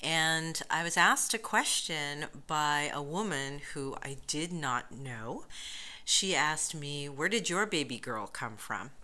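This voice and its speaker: A woman with a very deep, low pitch speaks at a very slow pace with an American accent. Her tone is bright and sharp, and her intonation is lively. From United States. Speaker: professor. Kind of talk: interview.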